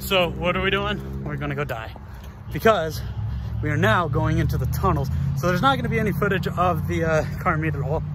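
A man talks fairly quickly while noticeable background noise carries on. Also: dry sound with no echo. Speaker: vlogger. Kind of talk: casual vlog chat. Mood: joking, mildly nervous. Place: tunnel cave. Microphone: phone near.

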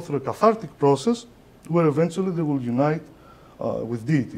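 In a Greek accent, a man talks at a very fast pace with a dark, mellow tone, a fairly high pitch and lively intonation. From Greece. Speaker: lecturer on esoteric philosophy. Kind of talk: lecture. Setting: lecture hall with audience. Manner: halting, hesitant. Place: hall.

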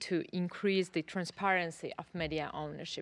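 A woman speaks at a fairly slow pace with a Georgian accent. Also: quiet background. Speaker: politician. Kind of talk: parliamentary speech. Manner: halting. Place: hall. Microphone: podium.

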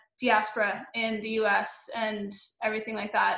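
A woman with an American accent speaks at a moderate pace in a fairly high pitch. Her tone is fairly bright, and audible room echo surrounds her voice.

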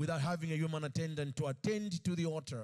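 A man is talking. The background is quiet. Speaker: preacher. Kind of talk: sermon. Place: stage. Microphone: handheld.

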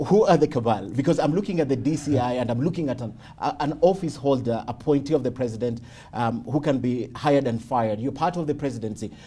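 Somewhat breathy, a man rattles along at a very fast pace in a medium pitch with ordinary pitch variation. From Kenya. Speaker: TV news interviewer. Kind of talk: interview. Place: home room.

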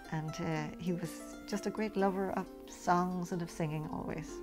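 A woman speaks with clear music in the background. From Ireland. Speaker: poet. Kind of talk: spoken introduction to a poem. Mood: warm, fond reminiscence. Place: home room.

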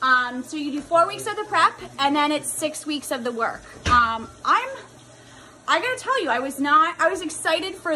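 A woman's raised, projected voice with lively intonation at a moderate pace, over background music. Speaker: fitness coach. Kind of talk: casual vlog chat. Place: home room. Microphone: phone near.

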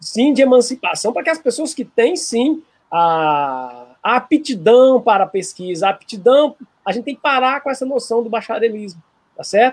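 With lively intonation and a moderate pace, a man talks in an extremely high pitch. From Minas Gerais, Brazil (Santa Luzia); Minas Gerais, Brazil. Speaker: lawyer and law professor; lawyer, law professor. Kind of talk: interview. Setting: video call. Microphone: video call.

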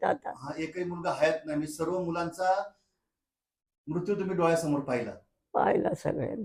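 A man's voice, high in pitch for a man, moves with ordinary pitch variation. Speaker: vlogger. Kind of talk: vlog narration and interview questions.

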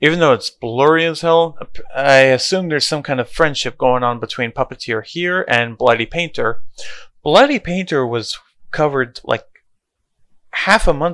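The man's bright, sharp tone carries lively intonation at a moderate pace, with a dry sound with no echo and a quiet background. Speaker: creepypasta youtuber. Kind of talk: casual vlog chat. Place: home room. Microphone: headset.

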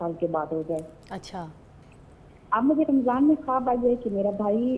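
This woman talks at a moderate pace in an ordinary speaking voice with lively intonation. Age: 40s. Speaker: caller. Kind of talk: phone-in question.

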